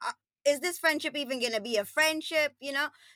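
A woman's high, bright, sharp voice, raised and projected, with lively intonation. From Queens, New York (born in Trinidad and Tobago). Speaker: lifestyle coach. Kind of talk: casual chat. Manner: animated.

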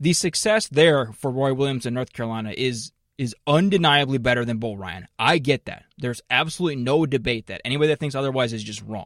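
Here is a man with an ordinary speaking voice, medium in pitch with ordinary pitch variation. He talks at a fairly quick pace in a dry, close sound with no echo, on a very clean recording with a silent background. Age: 30s. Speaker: sports podcast host. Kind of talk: casual chat.

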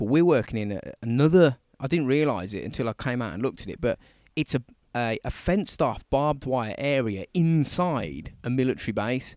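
A man at a moderate pace with lively intonation, in a dry, close sound with no echo and a very clean recording with a silent background. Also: medium pitch for a man. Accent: Birmingham. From Birmingham, England. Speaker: podcast co-host. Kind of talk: casual chat. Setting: outdoors in a garden.

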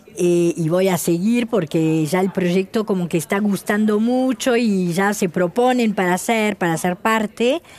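A woman with an unremarkable speaking voice, a medium pitch and ordinary pitch variation, at a fairly slow pace with very even loudness. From France. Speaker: shoe designer. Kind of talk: interview.

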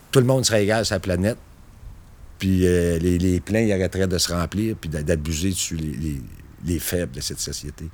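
In a Quebec accent, a man with a very deep, low pitch talks at a moderate pace, broken by long, frequent pauses. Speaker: railway foreman. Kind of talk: documentary interview.

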